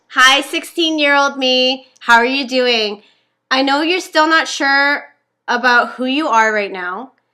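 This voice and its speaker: A woman uses a raised, projected voice, high in pitch and bright and sharp in tone, with ordinary pitch variation. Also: fairly slow pace. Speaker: podcast co-host. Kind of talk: reading aloud. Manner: loud.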